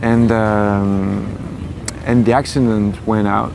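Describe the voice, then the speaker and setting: Speaking at a medium pitch with a French accent, a man is heard with audible room echo and noticeable background noise. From France, Paris. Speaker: singer. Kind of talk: interview. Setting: outdoors. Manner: halting.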